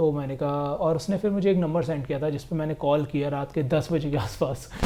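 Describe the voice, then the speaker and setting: Fairly high male voice at a moderate pace, with noticeable background noise. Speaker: travel vlogger. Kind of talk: casual vlog narration. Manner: monotone.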